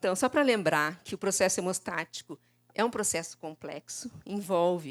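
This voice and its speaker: A normal speaking voice from a woman, lively in intonation and moderate in pace, with a dry, close sound, no echo, and a very clean recording with a silent background. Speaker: lecturer in laboratory hematology. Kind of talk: conference lecture. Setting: conference stage with audience.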